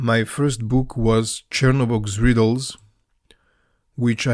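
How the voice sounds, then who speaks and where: In a Balkan accent, a man speaks at a fairly slow pace with a medium pitch and monotone, flat intonation. The recording is very clean, with a silent background. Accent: Balkan Slavic. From Macedonia. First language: Serbian or Macedonian. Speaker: author and YouTuber on Slavic mythology. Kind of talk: scripted podcast monologue. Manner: some hesitations and fillers.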